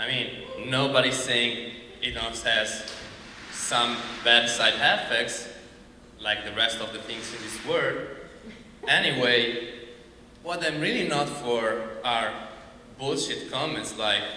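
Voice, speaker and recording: A man with a strong Italian accent at medium pitch, at a very slow pace with long, frequent pauses and fairly even intonation, amid audible room echo and noticeable background noise. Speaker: comedian. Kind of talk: stand-up.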